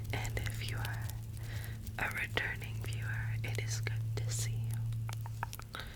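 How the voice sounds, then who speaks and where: Spoken at a very slow pace, this soft-spoken voice comes with noticeable background noise. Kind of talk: casual talk to camera.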